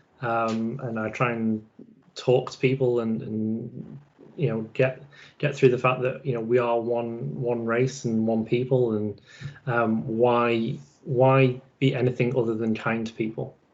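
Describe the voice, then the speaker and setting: With an English accent, a man speaks at a fairly slow pace in a medium pitch, keeping his intonation fairly even. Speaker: podcast host. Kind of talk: casual interview chat.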